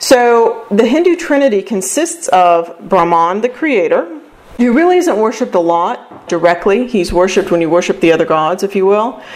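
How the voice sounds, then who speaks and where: Over noticeable background noise, a woman at medium pitch talks at a moderate pace with very wide pitch swings and hardly any pauses. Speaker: radio host and presenter. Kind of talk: lecture-style presentation on a podcast.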